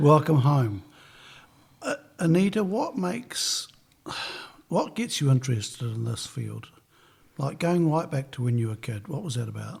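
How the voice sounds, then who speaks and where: Somewhat breathy and fairly high in pitch, a man speaks with very wide pitch swings and long, frequent pauses. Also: moderate pace. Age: 60s. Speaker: podcast host. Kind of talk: interview.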